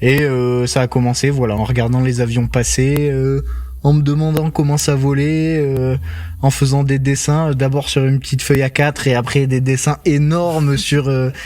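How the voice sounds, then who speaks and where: A man speaks in a monotone, flat intonation. His loudness stays very even. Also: medium pitch for a man, moderate pace. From southern France, Toulouse. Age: 20s. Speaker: airline pilot. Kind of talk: casual interview chat.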